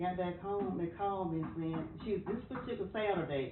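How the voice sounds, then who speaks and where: A woman speaks with an American accent and ordinary pitch variation. Audible room echo and noticeable background noise accompany her voice. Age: 80s+. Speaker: interviewee in documentary. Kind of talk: personal testimony. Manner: halting.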